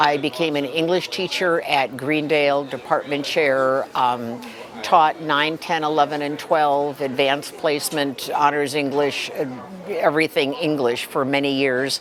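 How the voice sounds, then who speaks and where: Against crowd noise in the background, the speaker goes at a fairly slow pace with fairly even intonation. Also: woman, very deep, low pitch for a woman. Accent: American. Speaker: retired English teacher. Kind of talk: casual interview. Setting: restaurant event.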